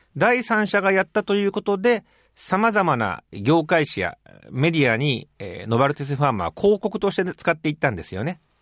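A man with a high pitch speaks at a fairly quick pace with very wide pitch swings, in a very clean recording with a silent background and a dry, close sound with no echo. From Japan, Hyogo Prefecture. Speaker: physician and medical research professor. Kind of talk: interview.

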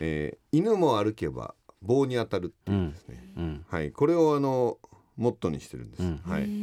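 On a very clean recording with a silent background and a dry, close sound with no echo, a man with a fairly low pitch and a dark, mellow tone talks at a fairly quick pace, showing very wide pitch swings and big swings in loudness. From Japan, Aichi. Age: 50s. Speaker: combat sports event organizer. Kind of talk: radio interview.

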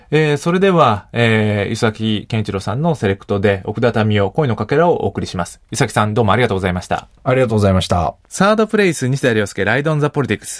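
A man's very fast, lively, medium-pitched speech with hardly any pauses, over a quiet background. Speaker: radio host and sociologist. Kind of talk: radio interview chat. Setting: studio.

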